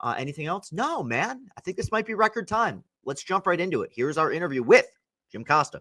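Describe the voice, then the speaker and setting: A man with an American accent speaks very fast in a raised, projected voice, high-pitched for a man, with very wide pitch swings. His tone is bright and sharp, and the sound is dry and close with no echo. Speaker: podcast host. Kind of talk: casual interview podcast. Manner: fast, many fillers.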